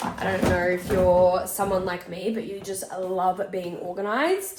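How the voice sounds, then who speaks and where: Over noticeable background noise, a woman speaks with an Australian accent. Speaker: photographer and content creator. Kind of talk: casual vlog.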